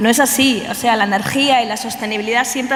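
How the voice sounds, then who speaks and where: Over noticeable background noise and audible room echo, a woman talks very fast in a high pitch. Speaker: researcher. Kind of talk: conference talk. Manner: hesitant, many fillers.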